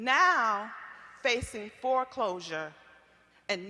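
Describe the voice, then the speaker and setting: With an American accent, a woman talks in a raised, projected voice over noticeable background noise. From Iowa, Waterloo. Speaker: community activist. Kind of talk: testimony at public forum. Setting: stage with audience.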